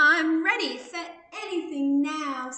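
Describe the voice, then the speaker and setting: Putting on a character voice with an extremely high pitch, a woman speaks at a fairly slow pace with slight echo. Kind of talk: children's picture-book read-aloud. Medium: read story. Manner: cheery, sing-song.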